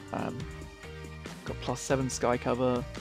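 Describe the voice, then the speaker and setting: A man's relaxed tone at a moderate pace, with music in the background. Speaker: gamer. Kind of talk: casual gameplay commentary. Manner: casual, relaxed.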